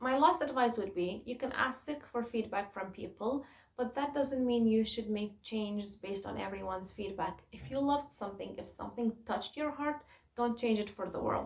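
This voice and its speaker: Speaking at a moderate pace with a Kurdish accent, a woman has a fairly high, somewhat breathy voice and ordinary pitch variation. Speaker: self-published poet and YouTuber. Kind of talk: tutorial.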